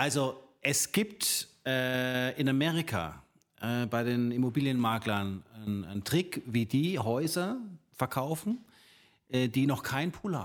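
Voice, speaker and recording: A man talks at a very slow pace with lively intonation. The recording is very clean, the background silent. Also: medium pitch for a man. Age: 50. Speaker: real estate agent. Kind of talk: casual chat.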